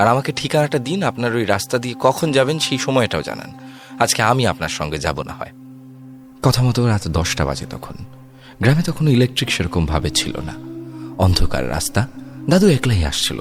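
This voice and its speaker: With music in the background, a man speaks at a medium pitch with very wide pitch swings. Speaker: horror story narrator. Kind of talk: horror story narration.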